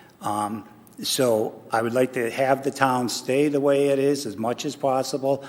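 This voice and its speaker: A man with an American accent speaks fairly slowly at a medium pitch, his intonation fairly even. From upstate New York. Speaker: political candidate. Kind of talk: candidate forum answer. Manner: halting, many fillers.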